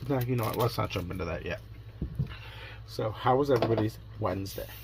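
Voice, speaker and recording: Noticeable background noise sits behind this man. His delivery is very fast. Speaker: crafting vlogger. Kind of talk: casual vlog chat. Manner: conversational, rambling storytelling.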